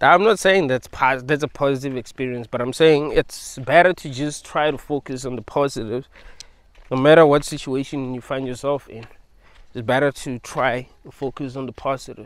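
With fairly even intonation, a man speaks at a fairly high pitch and a moderate pace, the sound dry with no echo. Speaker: video creator. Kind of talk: philosophical monologue. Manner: rambling, repetitive; casual. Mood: reflective, philosophical. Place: open country. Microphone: phone near.

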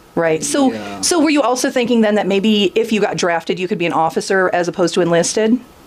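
A woman's medium-pitched voice at a very fast pace, lively in intonation and with hardly any pauses, over noticeable background noise. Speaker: oral history interviewer. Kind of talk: oral history interview. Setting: veterans care home.

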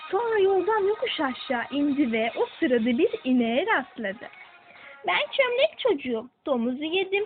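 Over music in the background, a woman speaks at a fairly slow pace in an extremely high voice with very wide pitch swings. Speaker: storyteller. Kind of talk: children's fairy tale narration.

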